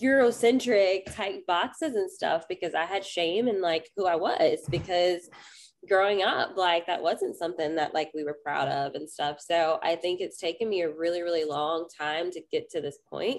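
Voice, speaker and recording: Here is a woman with an ordinary speaking voice, a fairly low pitch, and ordinary pitch variation. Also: moderate pace. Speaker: podcast guest, witch and parent. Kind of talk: interview answer. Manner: casual, frequent 'like'.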